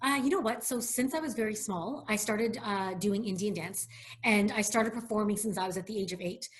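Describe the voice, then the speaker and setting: A woman's fairly high voice in a Canadian accent, at a fairly quick pace with ordinary pitch variation, amid noticeable background noise and audible room echo. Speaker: hotel executive. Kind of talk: interview. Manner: fast.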